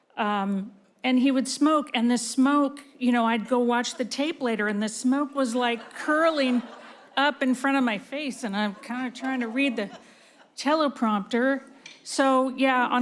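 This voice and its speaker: With an American accent, a woman talks at a high pitch with ordinary pitch variation. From San Francisco, US. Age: 60s. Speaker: veteran TV news journalist, award honoree. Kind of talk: award acceptance speech.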